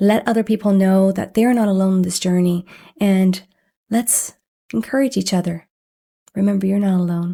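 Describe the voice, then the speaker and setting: At a moderate pace and medium pitch, a woman speaks with a dark, mellow tone, somewhat breathy, with ordinary pitch variation and long, frequent pauses. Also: very even loudness, very clean recording, silent background. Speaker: podcast host living with chronic illness. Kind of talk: heartfelt solo talk.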